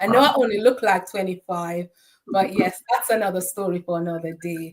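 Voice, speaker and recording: A woman with a Jamaican accent talks at a fairly quick pace, her medium pitch showing ordinary variation. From Jamaica, Saint Ann parish. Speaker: certified bookkeeper and financial strategist. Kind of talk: interview conversation.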